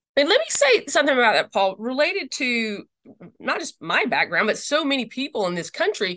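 Raised and projected, a woman's high-pitched voice carries a bright, sharp tone, very wide pitch swings and a slight Southern US accent. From Mississippi. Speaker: religious freedom lawyer and advocate. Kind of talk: interview conversation.

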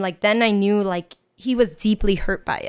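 Delivered at a fairly slow pace with fairly even intonation in an American accent, the speech sits in a very clean recording with a silent background. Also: woman. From US, New York Chinatown. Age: 20s. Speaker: teacher. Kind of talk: casual chat.

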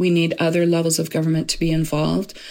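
In a Canadian accent, a woman speaks at a fairly low pitch with monotone, flat intonation. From Edmonton, Alberta, Canada. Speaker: housing rights advocate. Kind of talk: interview. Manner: hesitant, with fillers.

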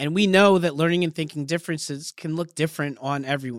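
A man with a normal speaking voice talks at a fairly quick pace. His pitch is fairly high, with ordinary variation. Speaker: podcast host and former teacher. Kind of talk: podcast interview.

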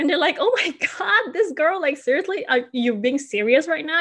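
A woman talks at a moderate pace. Her intonation is lively. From Indonesia (Bali). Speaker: branding specialist. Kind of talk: casual interview chat.

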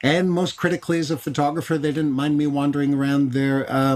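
This man has an unremarkable speaking voice. He speaks with a fairly high pitch and fairly even intonation. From Canada, Montreal. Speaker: photographer and educator. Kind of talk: casual chat.

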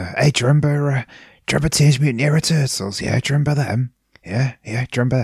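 Putting on a character voice, a man talks raspy and fairly quickly at a medium pitch. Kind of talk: stand-up comedy. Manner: casual, nostalgic comic delivery.

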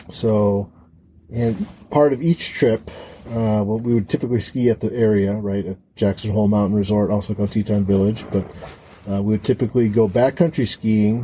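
A dark, mellow voice in an American accent, its intonation fairly even. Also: man. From Chicago. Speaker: co-host, host's husband. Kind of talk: casual chat. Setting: hayloft. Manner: halting.

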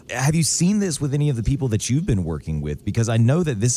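Very fast speech comes from a man at medium pitch, with very wide pitch swings. His tone is dark and mellow, and somewhat breathy. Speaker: radio host. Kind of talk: casual radio chat.

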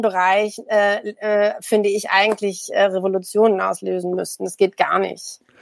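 In a normal speaking voice, the speaker keeps a moderate pace with fairly even intonation. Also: woman. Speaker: media anthropologist and political scientist. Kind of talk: casual chat.

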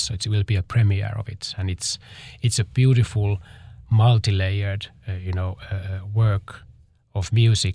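A man with a Finnish accent speaks at a moderate pace in a fairly low, somewhat breathy voice. The recording is very clean, with a silent background. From Finland. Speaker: dancer and choreographer. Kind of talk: interview. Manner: halting.

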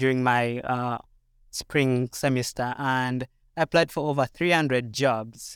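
In a very clean recording with a silent background and a dry, close sound with no echo, a man with a Ugandan accent speaks at a medium pitch and a fairly slow pace with fairly even intonation. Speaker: international graduate student. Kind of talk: personal testimony in panel discussion. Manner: halting, many fillers.

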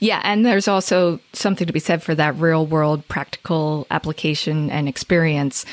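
A woman with a New Jersey accent speaks at a moderate pace with a very deep, low pitch, ordinary pitch variation, very even loudness and hardly any pauses. The sound is dry and close with no echo, on a very clean recording with a silent background. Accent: New Jersey American. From northern New Jersey. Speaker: SEO agency owner. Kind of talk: interview.

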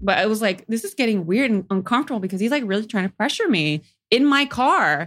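In an American accent, a woman talks at a very fast pace with a fairly high pitch and lively intonation. The recording is very clean, with a silent background. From California Central Valley, Modesto. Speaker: stand-up comedian. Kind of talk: casual chat.

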